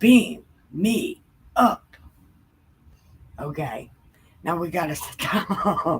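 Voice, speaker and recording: Somewhat breathy and medium in pitch, a woman speaks at a very slow pace with very wide pitch swings and long, frequent pauses. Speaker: Bible livestream host. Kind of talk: casual chat.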